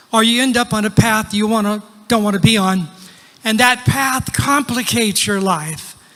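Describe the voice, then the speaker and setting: With music in the background, a raised, projected voice carries at a moderate pace. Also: man, high pitch for a man, ordinary pitch variation. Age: 70s. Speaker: pastor. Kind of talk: sermon.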